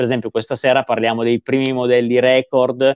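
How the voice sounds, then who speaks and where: A man at a fairly quick pace, dry sound with no echo, quiet background. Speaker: guest. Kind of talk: interview answer. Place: home room. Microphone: video call.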